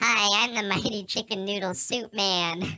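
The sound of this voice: This female-sounding voice is a put-on character voice. It sits at a medium pitch and moves at a moderate pace.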